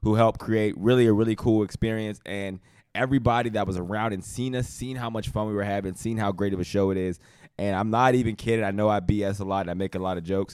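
Speech comes at a very fast pace in an animated tone. The recording is very clean, with a silent background. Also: man, fairly low pitch for a man. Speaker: podcast host, former NFL player. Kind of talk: casual sports chat.

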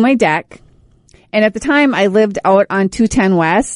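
An unremarkable speaking voice moves at a moderate pace with lively intonation, heard dry and close with no echo against a quiet background. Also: woman. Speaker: radio host. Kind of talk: casual chat. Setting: studio. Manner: loud.

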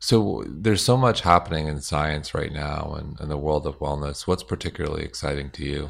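This man talks at a fairly quick pace with hardly any pauses, his very deep, low voice showing vocal fry and ordinary pitch variation. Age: 40s. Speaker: podcast host and company founder. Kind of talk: casual interview.

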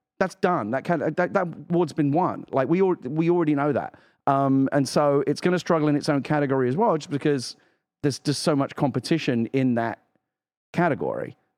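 A man with an English accent speaks at a fairly quick pace with ordinary pitch variation and very even loudness over a quiet background. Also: fairly high pitch for a man. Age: 50s. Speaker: video game podcast co-host. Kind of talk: casual chat. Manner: halting.

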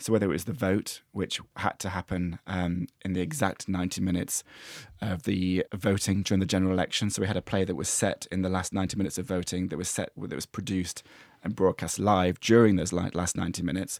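A man's very deep, low voice at a very fast pace, dry and close with no echo, on a very clean recording with a silent background. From English East Midlands, Mansfield. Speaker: playwright and screenwriter. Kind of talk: casual interview chat. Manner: halting, many fillers and restarts.

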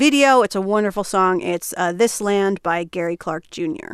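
A woman with an American accent speaks at medium pitch and a moderate pace, with ordinary pitch variation. The sound is dry and close with no echo, and hers is an unremarkable speaking voice. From New Jersey. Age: 30s. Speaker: comedian and writer. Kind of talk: casual chat.

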